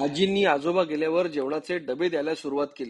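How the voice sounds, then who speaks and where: A man speaks in a plain, everyday voice. His pitch is fairly high, with fairly even intonation. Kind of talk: documentary narration.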